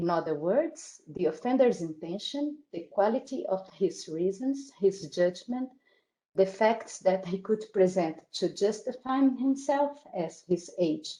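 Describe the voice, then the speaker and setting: A woman with a Portuguese accent speaks at a fairly slow pace in a medium pitch with a dark, mellow tone. Her pitch swings very widely. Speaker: academic conference speaker. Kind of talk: reading aloud. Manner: halting.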